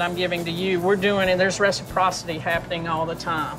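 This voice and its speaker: Clear music sounds in the background while a woman speaks. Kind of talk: interview answer. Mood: warm, laughing. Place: kitchen.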